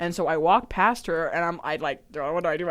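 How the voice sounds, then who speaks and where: An animated tone moves at a fairly quick pace in a very clean recording with a silent background. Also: woman. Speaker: podcast co-host. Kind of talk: casual chat.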